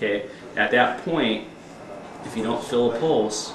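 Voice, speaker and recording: Amid noticeable background noise and audible room echo, a man speaks at a moderate pace with a medium pitch and ordinary pitch variation. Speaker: CPR instructor. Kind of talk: informal instruction class.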